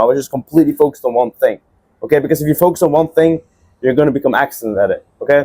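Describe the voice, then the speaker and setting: With a Dutch accent, a man speaks at a fairly high pitch in a dark, mellow tone. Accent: Dutch accent in English, largely fixed. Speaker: agency owner, entrepreneur. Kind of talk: casual talk to camera, personal story. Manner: casual, filler-heavy.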